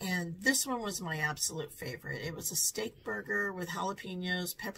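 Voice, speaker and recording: Speaking at a moderate pace over light background noise, a woman with a fairly low pitch uses lively intonation in a plain, everyday voice. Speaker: food reviewer vlogger. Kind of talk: casual restaurant review vlog. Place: home room.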